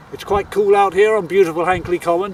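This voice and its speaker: Noticeable background noise sits behind a man whose high voice shows ordinary pitch variation. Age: 70s. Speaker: fitness trainer. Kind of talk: casual talk to camera during workout.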